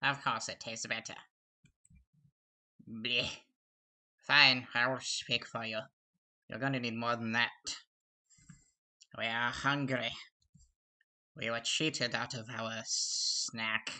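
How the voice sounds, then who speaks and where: A man's put-on character voice, medium in pitch and hissing, at a fairly slow pace with long, frequent pauses. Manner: hungry, sneering.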